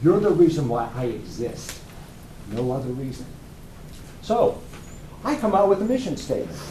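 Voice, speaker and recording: A man with an American accent speaks at a moderate pace and a fairly high pitch. His pitch swings very widely, and the room echo is audible. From US South, North Carolina (Cumberland County). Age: old. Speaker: firearms instructor. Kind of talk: business pitch presentation.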